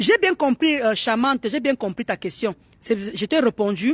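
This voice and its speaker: Very wide pitch swings run through the voice, captured dry and close with no echo. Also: woman. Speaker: live streamer. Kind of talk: casual live chat. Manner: animated.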